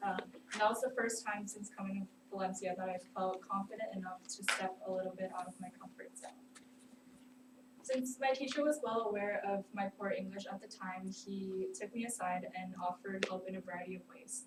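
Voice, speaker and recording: Her voice sits at a medium pitch. This woman speaks with a non-native accent. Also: ordinary pitch variation, fairly quick pace. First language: not English. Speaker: student. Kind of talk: class speech. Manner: hesitant, many fillers.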